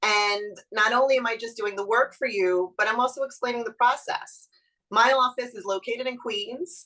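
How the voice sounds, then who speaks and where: A woman with a Brooklyn accent speaks at a moderate pace in a fairly high pitch, her tone bright and sharp and her intonation lively. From Brooklyn, New York. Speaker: real estate lawyer. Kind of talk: webinar presentation.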